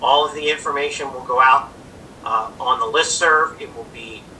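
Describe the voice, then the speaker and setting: A man's voice, pitched fairly high, moves at a moderate pace against noticeable background noise. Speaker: lawyer chairing a township hearing. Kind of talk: formal public hearing procedure. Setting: video call. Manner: loud; formal.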